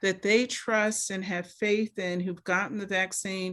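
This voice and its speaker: Very clean recording with a silent background of a woman speaking at a fairly slow pace. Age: 60s. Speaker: medical doctor panelist. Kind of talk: town hall panel discussion. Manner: animated.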